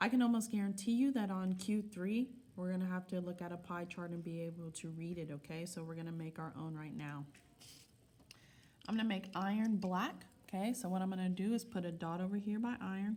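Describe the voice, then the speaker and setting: A woman speaks fairly quickly at a medium pitch, with ordinary variation in it. Her tone is dark, mellow and somewhat breathy. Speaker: school science teacher. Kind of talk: recorded class lesson with notes. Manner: fast; instructive, frequent okay checks.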